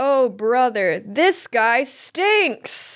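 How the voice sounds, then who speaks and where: Put on as a character voice, this female-sounding voice sits high in pitch. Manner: cartoonish, comic.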